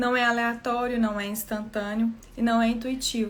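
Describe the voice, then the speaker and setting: A soft-spoken woman talks at a moderate pace. Her voice is high in pitch. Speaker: therapist trainer. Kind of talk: live talk.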